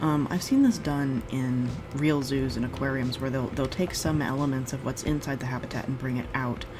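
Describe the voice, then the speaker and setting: A soft-spoken woman with a very deep, low pitch and ordinary pitch variation talks in a relaxed tone at a moderate pace, with noticeable background noise and audible room echo. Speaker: gaming video creator. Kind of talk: gameplay commentary.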